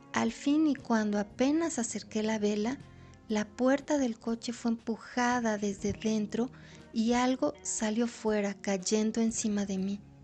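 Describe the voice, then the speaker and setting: Music plays in the background while a woman speaks at a fairly slow pace. Her pitch is fairly high, with ordinary pitch variation. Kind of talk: audiobook short story reading.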